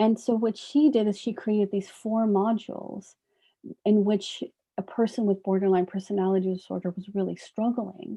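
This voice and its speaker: At a moderate pace, a woman talks with a medium pitch and fairly even intonation. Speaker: psychologist. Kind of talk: workshop lecture. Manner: soft-spoken.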